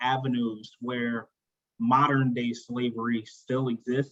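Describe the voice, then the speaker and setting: Delivery comes at a fairly slow pace. Intonation stays monotone and flat. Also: man. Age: 30s. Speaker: discussion club participant. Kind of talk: group discussion.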